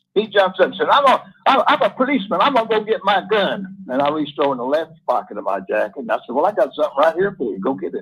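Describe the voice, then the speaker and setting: A man with a high voice talks very fast, his pitch swinging very widely and hardly pausing at all. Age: 70s. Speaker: caller. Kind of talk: casual storytelling on call-in show.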